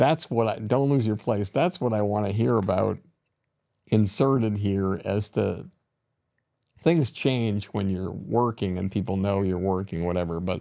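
A man's fairly low, dark and mellow voice, fairly slow in pace with ordinary pitch variation, over a quiet background. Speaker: podcast host, producer; podcast host. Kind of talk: interview questions. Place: studio. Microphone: studio mic.

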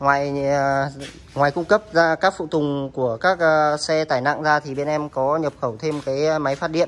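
The pace is moderate. Intonation stays fairly even. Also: man, fairly high pitch for a man.

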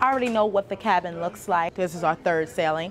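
A woman talks with ordinary pitch variation while light background noise runs underneath. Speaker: cruise vlogger. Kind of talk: casual vlog chat. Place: hall. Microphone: phone near.

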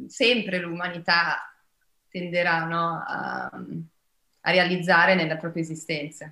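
Her voice is fairly low-pitched, with a bright, sharp tone. Audible room echo surrounds the woman as she speaks. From Brazil, widely travelled. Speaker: actress; actress at press junket. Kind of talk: press interview. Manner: hesitant, many fillers. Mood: warm, reflective. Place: home room. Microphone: video call.

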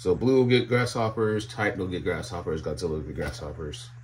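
Light background noise sits behind a man whose voice is somewhat breathy. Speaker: reptile keeper. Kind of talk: casual chat. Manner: casual, chatty. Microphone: phone near.

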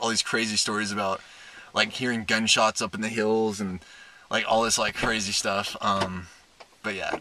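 Here a man speaks with a fairly low pitch. His tone is bright and sharp, and his intonation stays fairly even.

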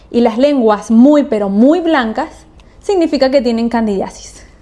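Music plays in the background as a woman speaks at a high pitch. Her pace is fairly slow and her pitch variation ordinary. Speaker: video creator. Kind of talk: casual explanatory vlog chat. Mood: cheerful, playful. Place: home room.

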